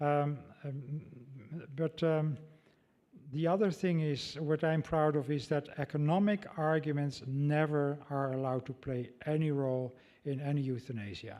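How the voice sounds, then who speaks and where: Slow-ish and fairly even in intonation, a man with a Dutch accent speaks in a fairly high voice with a dark, mellow tone. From Netherlands. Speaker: ethicist. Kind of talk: lecture Q&A. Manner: halting.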